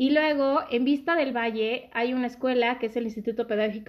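Against a quiet background, a woman with high pitch and fairly even intonation speaks at a fairly quick pace. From Mexico City area (born Guadalajara). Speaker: podcast guest, friend of host. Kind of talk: casual chat.

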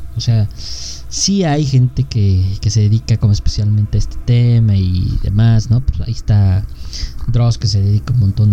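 Very wide pitch swings at a very even loudness in a Mexican accent, with noticeable background noise. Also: man. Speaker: podcast co-host. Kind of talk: casual chat. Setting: live stream.

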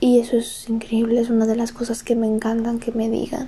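Delivered at a fairly quick pace, the talking is accompanied by noticeable background noise. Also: woman. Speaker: podcaster. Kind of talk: casual monologue. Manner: halting.

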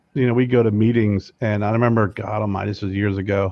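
Against a quiet background, a man with an ordinary speaking voice talks at a fairly low pitch with ordinary pitch variation, the sound dry and close with no echo. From Pennsylvania, Lebanon-Lancaster area. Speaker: cigar brand owner and podcast host. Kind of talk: casual interview chat.

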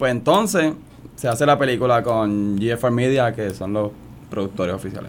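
A man speaks at a moderate pace and medium pitch in an unremarkable speaking voice, with ordinary pitch variation. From Puerto Rico, San Juan. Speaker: actor. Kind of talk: radio interview.

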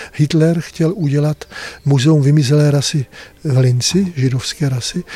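Fairly high in pitch, a man speaks in a somewhat breathy, dark and mellow voice at a moderate pace with ordinary pitch variation. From northern Bohemia (Kadaň). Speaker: monastery prior, monk. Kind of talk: interview. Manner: halting, conversational.

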